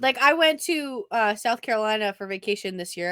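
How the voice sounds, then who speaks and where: A woman speaks in an animated, bright, sharp tone with lively intonation. The recording is very clean, with a silent background. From New England. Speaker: podcast co-host. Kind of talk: casual chat.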